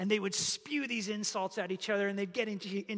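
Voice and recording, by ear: Someone is reading aloud in a natural voice. The text is delivered this way throughout.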